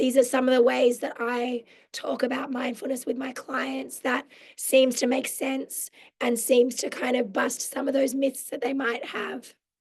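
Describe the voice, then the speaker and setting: A woman's put-on character voice, raspy, croaky and hoarse, at high pitch with monotone, flat intonation and a moderate pace. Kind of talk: professional, explanatory.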